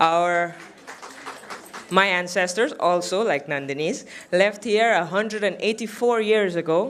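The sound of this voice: A fairly bright tone at a fairly slow pace. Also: woman.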